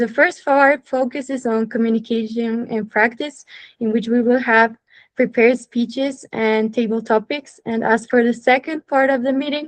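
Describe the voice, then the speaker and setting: A woman speaks in a high pitch at a moderate pace. Her intonation stays fairly even. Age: young. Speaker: meeting host. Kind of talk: formal meeting hosting.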